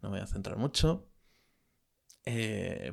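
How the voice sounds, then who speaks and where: A man with ordinary pitch variation, in a very clean recording with a silent background. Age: 30s. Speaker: podcaster. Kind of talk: casual monologue. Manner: hesitant, many filler sounds.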